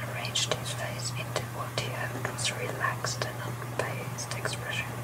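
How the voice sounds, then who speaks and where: A woman's whisper moves at a moderate pace with noticeable noise in the background. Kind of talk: sleep story. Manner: whispered.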